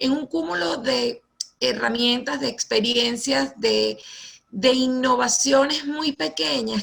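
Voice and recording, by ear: Speaking slowly, a woman with a high pitch and a fairly bright tone shows vocal fry, a slightly husky edge and ordinary pitch variation.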